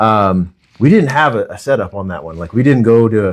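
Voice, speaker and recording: Loud and quick, a man talks at a medium pitch with lively intonation. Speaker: mortgage lender and interview host. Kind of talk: casual interview chat. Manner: loud, projecting; intense.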